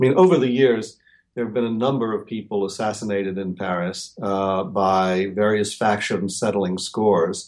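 A man with a fairly low pitch talks at a moderate pace, keeping his intonation fairly even. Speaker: magazine bureau chief journalist. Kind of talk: interview. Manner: halting, many fillers.

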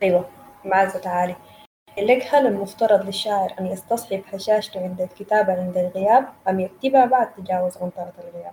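Over noticeable background noise, a woman with a Sudanese accent talks at a moderate pace and a medium pitch. Her loudness swings widely. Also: fairly even intonation. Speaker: session host and poetry reader. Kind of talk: poetry reading and moderating a literary evening. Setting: online video call with audience.

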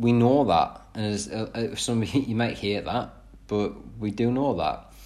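Here a man speaks with a British accent. His pitch variation is ordinary. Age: 20s. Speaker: fitness coach and podcaster. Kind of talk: solo podcast monologue. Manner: casual, with filler words.

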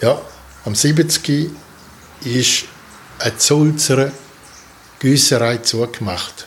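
At a very slow pace with long, frequent pauses, a man with a strong Swiss German accent and a fairly high pitch sounds somewhat breathy, his pitch varying in an ordinary way. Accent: broad Swiss German dialect. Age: 70s. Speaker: artist and sculptor, retired. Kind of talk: interview about life story.

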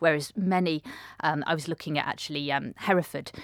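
Recorded very cleanly against a silent background, with a dry, close sound and no echo, a woman speaks at a very deep, low pitch with a British accent. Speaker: transport researcher, academic. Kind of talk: interview answers, academic explanation.

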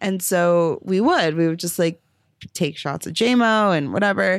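Recorded very cleanly against a silent background, a woman with a normal speaking voice and fairly low pitch talks at a moderate pace with lively intonation. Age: 20s. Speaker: podcast host. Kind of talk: casual chat.

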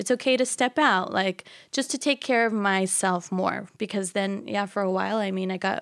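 A woman's normal speaking voice at medium pitch, moderate pace and ordinary pitch variation, dry and close with no echo, on a very clean recording with a silent background. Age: 20s. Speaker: fashion business owner. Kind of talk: casual interview. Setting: studio.

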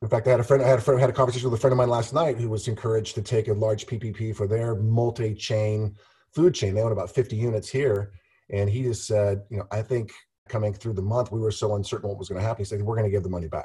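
A man talks very fast in a medium pitch, with a dark, mellow tone that is somewhat breathy. The recording is very clean, with a silent background. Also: fairly even intonation. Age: 50s. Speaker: real estate entrepreneur. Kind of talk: interview.

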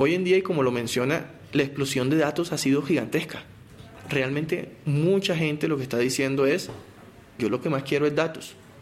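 Moderate pace and ordinary pitch variation, in a Colombian Caribbean accent. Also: man, fairly high pitch for a man. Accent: Colombian Caribbean coast. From Colombian Caribbean coast, Barranquilla. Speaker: telecom company spokesperson. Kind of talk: technical interview.

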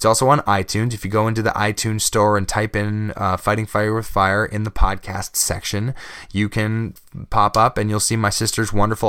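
Fairly quick and monotone, a man talks with flat intonation at a fairly low pitch. His tone is bright and sharp. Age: 20s. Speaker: podcast host. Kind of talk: solo podcast monologue. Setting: home studio microphone. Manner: halting.

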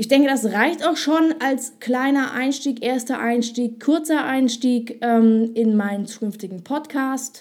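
Talking at a very slow pace with hardly any pauses, a woman uses a high pitch and ordinary pitch variation. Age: 20s. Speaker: podcaster and ad agency owner. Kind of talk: solo podcast monologue. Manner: hesitant, many fillers.

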